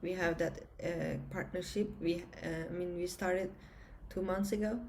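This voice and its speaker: A woman's medium-pitched voice with a Turkish accent, monotone, flat intonation, vocal fry and audible room echo. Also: moderate pace. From Turkey. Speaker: entrepreneur, former engineer and pilot. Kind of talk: conference interview. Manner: halting, many fillers.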